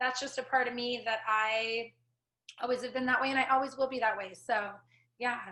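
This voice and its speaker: A woman speaks loudly at a high pitch in a bright, sharp tone, monotone and flat, moving at a fairly quick pace broken by long, frequent pauses. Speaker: coffee shop co-owner. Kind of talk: casual interview. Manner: chatty.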